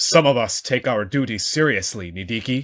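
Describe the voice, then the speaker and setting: A man growls through a put-on character voice at a medium pitch. His intonation is lively and his pace moderate. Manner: growling.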